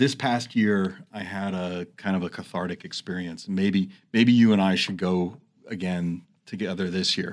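This man has a very deep, low pitch and an American accent. His intonation stays fairly even. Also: moderate pace, very clean recording, silent background. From New York City area. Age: 50s. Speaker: nurse and radio co-host. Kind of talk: interview. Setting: studio.

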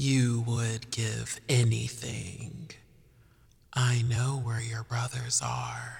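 At a very slow pace, the speaker performs a put-on character voice. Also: man, medium pitch for a man. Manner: cackling, eerie, taunting.

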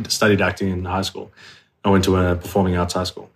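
A man speaks with an Australian accent. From Australia, southwest Sydney. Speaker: actor. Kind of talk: casual interview chat.

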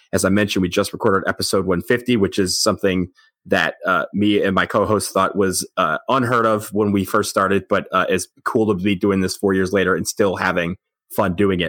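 A man with an American accent at a fairly quick pace, monotone and flat, with very even loudness, in a very clean recording with a silent background and a dry, close sound with no echo. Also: fairly low pitch for a man. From Michigan, outside Detroit. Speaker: sports podcast co-host. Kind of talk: casual chat.

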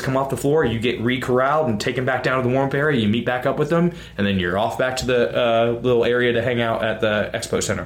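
Delivered at a very fast pace, the speech has very even loudness and ordinary pitch variation over noticeable background noise. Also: man. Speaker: podcast co-host and CrossFit coach. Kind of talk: casual chat.

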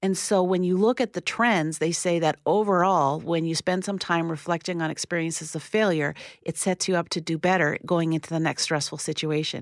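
On a very clean recording with a silent background and a dry, close sound with no echo, a woman with an unremarkable speaking voice and a fairly low pitch talks at a fairly quick pace with fairly even intonation and hardly any pauses. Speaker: parenting commentator. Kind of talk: radio interview.

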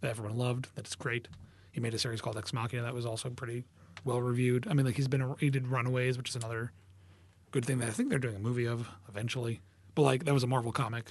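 A man talks at a very fast pace in a flat monotone. His medium-pitched voice is somewhat breathy. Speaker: cartoonist. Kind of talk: casual interview.

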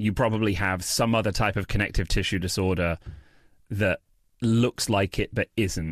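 On a very clean recording with a silent background, a man with a British accent speaks at a moderate pace in a fairly low pitch, his intonation fairly even and the sound dry and close with no echo. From England. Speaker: comedian and freestyle rapper. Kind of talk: casual interview chat.

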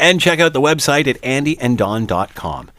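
Using a normal speaking voice, a man with a Canadian accent talks at a moderate pace with lively intonation. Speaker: radio host. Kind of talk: radio talk show. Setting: studio.

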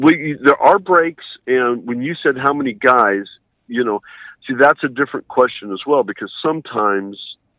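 Delivered at a moderate pace, a normal speaking voice carries lively intonation. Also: man. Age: 40s. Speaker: interview guest. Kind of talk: interview. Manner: formal.

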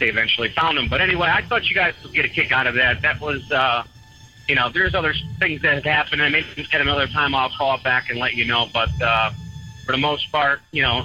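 This man's voice sits fairly high and moves at a very fast pace. Background noise is noticeable. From New England. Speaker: truck driver. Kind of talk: storytelling. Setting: phone call. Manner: animated.

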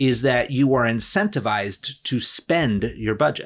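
This is a normal speaking voice moving at a fairly slow pace. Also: man. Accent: American. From New Jersey. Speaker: attorney and business coach. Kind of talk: casual interview chat.

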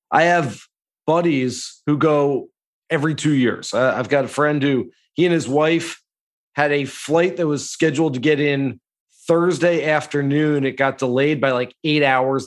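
With a normal speaking voice, a man talks at a fairly slow pace in a fairly high pitch and fairly even intonation against a quiet background. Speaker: golf analyst. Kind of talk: casual chat. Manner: casual, conversational.

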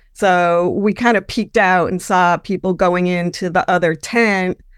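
In a very clean recording with a silent background, a woman uses a normal speaking voice at a medium pitch with fairly even intonation. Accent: American. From upstate New York. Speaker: caller telling a ghost story. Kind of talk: storytelling.

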